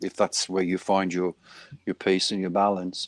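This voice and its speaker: Very deep, low-pitched male voice in a very clean recording with a silent background and a dry, close sound with no echo. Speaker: heavy metal singer. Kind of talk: interview answer.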